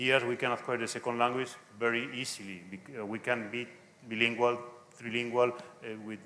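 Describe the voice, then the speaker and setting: A man talks with a Spanish accent. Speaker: conference speaker, Spanish language teacher. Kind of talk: lecture; Q&A answer. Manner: halting.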